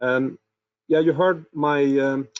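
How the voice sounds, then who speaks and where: Fairly high in pitch, a man speaks with a Swedish accent and fairly even intonation. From Sweden. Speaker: product and innovation manager presenting. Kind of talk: webinar presentation. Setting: online webinar.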